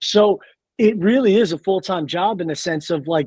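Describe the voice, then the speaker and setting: A loud, animated voice with ordinary pitch variation comes at a moderate pace over a quiet background. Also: man. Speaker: space content creator. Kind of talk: podcast interview.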